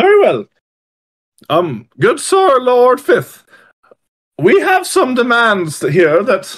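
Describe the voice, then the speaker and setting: The speaker uses a put-on character voice at a very slow pace. Long, frequent pauses fill the delivery. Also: man, extremely high pitch for a man. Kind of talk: comic overacting. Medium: actual play. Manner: pompous, formal, loud.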